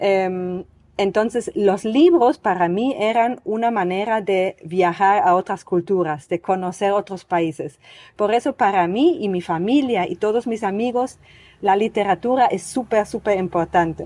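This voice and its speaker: A woman speaks at a fairly slow pace with a dark, mellow tone. Her pitch is medium, with ordinary variation. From East Germany. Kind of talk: podcast interview answer.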